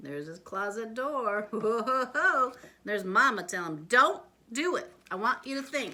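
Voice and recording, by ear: Natural voice, reading aloud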